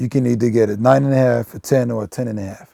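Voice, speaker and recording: With a non-native accent, a man speaks at a fairly quick pace in a medium pitch with ordinary variation and a dark, mellow tone, the sound dry and close with no echo. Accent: noticeable foreign. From Belgium. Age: 30s. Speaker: sneaker collector and retail store manager. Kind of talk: documentary interview. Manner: casual, filler-heavy.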